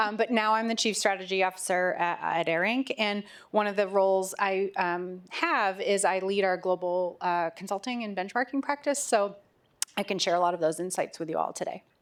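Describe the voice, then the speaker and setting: With an unremarkable speaking voice, a woman talks at a moderate pace and medium pitch with ordinary pitch variation. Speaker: business executive. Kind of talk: panel discussion.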